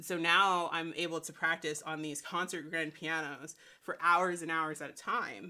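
An American-accented woman with a fairly low pitch and a bright, sharp tone speaks at a moderate pace, her intonation fairly even while her loudness swings widely. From US South, Saint Petersburg, Florida. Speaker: musician and multimedia artist. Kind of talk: interview. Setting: remote call.

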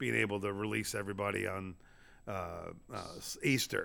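A man with an American accent, bright, sharp tone and vocal fry, in a very clean recording with a silent background. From Florida. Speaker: touring stand-up comedian. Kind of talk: casual chat. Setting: empty comedy club showroom. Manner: preacher-like, emphatic.

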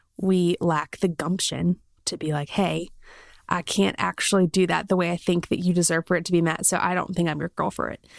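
A woman with a fairly low pitch talks at a fairly quick pace with an American accent and a monotone, flat intonation. The recording is very clean, with a silent background. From South Carolina. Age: 20s. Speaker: podcast host. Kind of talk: casual interview chat; podcast intro monologue.

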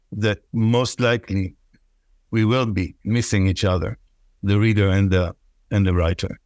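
A man speaks with an Israeli accent. The recording is very clean, with a silent background and a dry, close sound that has no echo. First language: Hebrew. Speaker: poet and professor. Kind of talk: interview conversation, with poem readings. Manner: reads the Hebrew poem aloud, rhythmic, musical, savoring sounds.

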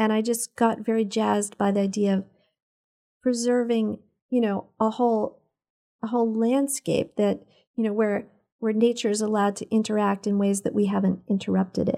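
The voice has a dark, mellow tone and monotone, flat intonation at a moderate pace. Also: woman, fairly high pitch for a woman. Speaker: environmental health advocate. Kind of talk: casual interview chat. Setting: studio.

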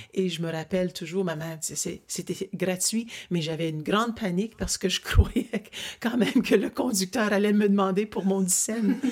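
A woman's plain, everyday voice, medium in pitch, at a moderate pace with ordinary pitch variation. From Ottawa, Ontario. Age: 60s. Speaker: interviewer of her father. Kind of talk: family interview. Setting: family cottage.

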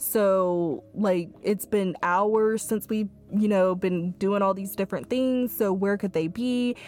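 On a very clean recording with a silent background, a woman of medium pitch talks at a very slow pace with fairly even intonation and hardly any pauses. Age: 20s. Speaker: podcast host and college student. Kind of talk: casual solo monologue.

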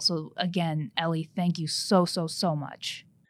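A woman speaks in an unremarkable speaking voice, fairly low in pitch, with fairly even intonation. The recording is very clean, with a silent background. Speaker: trial lawyer and podcast co-host. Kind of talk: interview.

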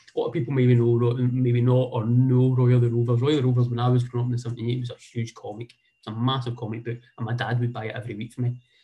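A man with a Scottish accent talks at a very fast pace with hardly any pauses, his medium-pitched voice dark, mellow, somewhat breathy and monotone in its flat intonation. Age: 40s. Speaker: football association community development manager. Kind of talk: talk with slides. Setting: video call.

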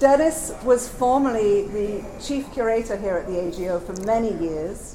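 A woman with a fairly high pitch and ordinary pitch variation talks as noticeable background noise runs behind her. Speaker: gallery adult programs coordinator. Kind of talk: introduction to a live event. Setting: live in a gallery with a group. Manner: quieter voice.

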